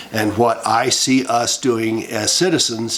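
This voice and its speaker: An American accent with fairly even intonation, over noticeable background noise. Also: man. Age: 70s. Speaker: political commentary vlogger. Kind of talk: monologue. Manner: halting.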